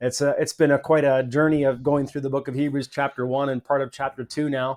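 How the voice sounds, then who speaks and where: A man with a Canadian accent, medium in pitch and monotone, flat in intonation, over a quiet background. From Canada. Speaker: podcast host. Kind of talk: interview conversation.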